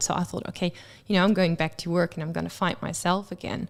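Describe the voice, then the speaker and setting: A woman with a fairly low pitch and monotone, flat intonation, with a Dutch accent, on a very clean recording with a silent background. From Netherlands. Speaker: guest sharing mental health experience. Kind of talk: radio interview.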